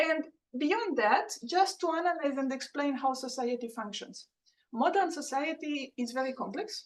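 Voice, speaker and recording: A woman with a Romanian accent speaks at a moderate pace in a high pitch. Her intonation is lively. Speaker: professor. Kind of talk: lecture.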